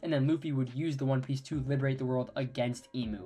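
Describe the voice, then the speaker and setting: Fairly quick speech over background music. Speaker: anime commentary youtuber. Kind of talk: video analysis monologue.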